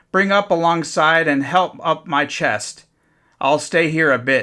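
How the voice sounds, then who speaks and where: This is a man doing a put-on character voice, raspy and fairly high in pitch. He speaks at a fairly slow pace. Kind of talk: old sailor's talk. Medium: read story. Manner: rough, commanding.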